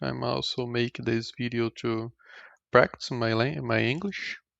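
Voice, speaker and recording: A man with a Portuguese accent, at a fairly slow pace. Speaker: indie game developer. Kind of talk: tutorial. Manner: halting.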